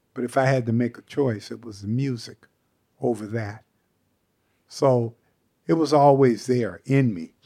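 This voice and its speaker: With an American accent, a man with a medium-pitched, dark, mellow tone speaks at a fairly slow pace, leaving long, frequent pauses and swinging widely in loudness. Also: ordinary pitch variation. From US Pacific Northwest, Seattle. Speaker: jazz saxophonist. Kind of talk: interview.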